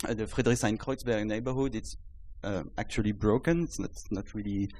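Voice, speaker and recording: A man's fairly low, dark, mellow voice with a French accent at a moderate pace, on a very clean recording with a silent background. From France. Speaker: startup founder. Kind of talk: startup pitch. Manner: halting.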